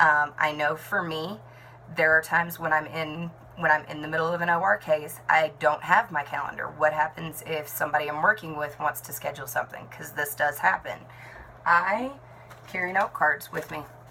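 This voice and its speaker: With noticeable background noise behind her, a woman speaks at a moderate pace in a very deep, low voice, with ordinary pitch variation and big swings in loudness. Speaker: network marketing team leader and nurse. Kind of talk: talking-head tutorial.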